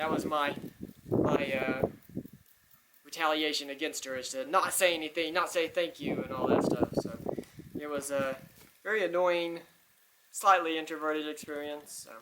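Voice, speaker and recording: At a moderate pace, a man speaks with fairly high pitch and fairly even intonation, his loudness swinging widely between long, frequent pauses. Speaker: podcast host. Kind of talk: casual monologue. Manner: soft-spoken; halting.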